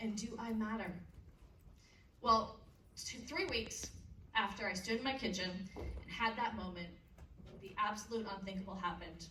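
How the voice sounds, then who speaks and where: A woman with a Canadian accent speaks at a moderate pace and fairly high pitch, with fairly even intonation. She takes long, frequent pauses, and audible room echo can be heard. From Canada. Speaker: motivational speaker. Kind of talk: keynote speech to teenagers. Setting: stage with audience.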